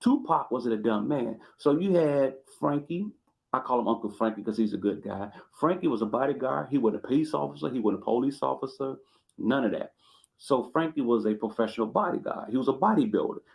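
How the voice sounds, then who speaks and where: Lively intonation and vocal fry from a man with a medium-pitched voice. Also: fairly quick pace. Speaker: YouTube commentator. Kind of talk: storytelling commentary. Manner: animated.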